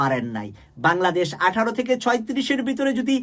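An animated man's voice, high in pitch, with very wide pitch swings. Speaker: political commentary YouTuber. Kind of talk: political commentary monologue.

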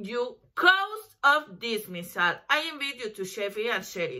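A woman speaks at a moderate pace in a high pitch with a bright, sharp tone and a Spanish accent. The background is quiet. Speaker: lawyer; lawyer promoting her services. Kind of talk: promotional talk to camera. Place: home room. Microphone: webcam.

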